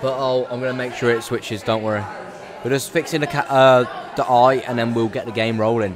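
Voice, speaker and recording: Crowd noise in the background and audible room echo accompany a man's voice. He keeps a medium pitch and fairly even intonation at a fairly quick pace. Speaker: esports tournament commentator. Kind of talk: live commentary. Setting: live event venue. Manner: halting.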